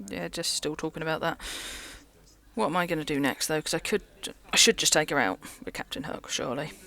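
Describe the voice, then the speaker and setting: Very fast delivery broken by long, frequent pauses. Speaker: card game content creator. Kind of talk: gameplay commentary. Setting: local game store. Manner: casual, with slip-ups.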